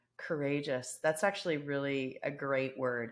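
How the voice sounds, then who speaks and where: A woman speaks with a very deep, low pitch. Her intonation is fairly even against a quiet background. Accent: slight Canadian. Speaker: podcast co-host, consulting executive. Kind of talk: casual chat.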